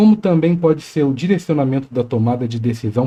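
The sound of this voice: The voice carries a Rio de Janeiro accent and a dark, mellow tone. Its intonation is lively. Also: man.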